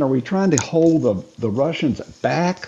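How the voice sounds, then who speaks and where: A man's fairly high voice with a dark, mellow tone. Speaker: podcast co-host. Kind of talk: casual chat. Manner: energetic.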